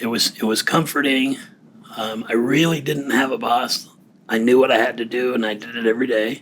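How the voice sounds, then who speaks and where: A man speaks at a fairly quick pace in a medium pitch, with fairly even intonation over noticeable background noise. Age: 60s. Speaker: recently retired defense worker and client. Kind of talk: casual interview conversation. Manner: halting.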